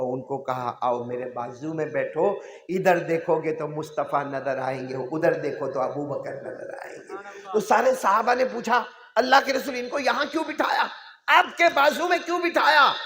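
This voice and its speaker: A man's fairly slow, animated voice with audible room echo. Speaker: Islamic preacher. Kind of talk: sermon.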